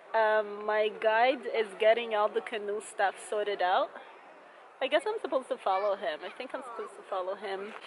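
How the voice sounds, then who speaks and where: A woman talks at a fairly quick pace with big swings in loudness, and there is noticeable background noise. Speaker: travel vlogger. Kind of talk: casual vlog chat. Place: waterside. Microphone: phone near.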